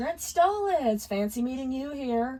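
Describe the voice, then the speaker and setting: A woman puts on a shrill, high-pitched character voice and speaks at a fairly slow pace. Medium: read story.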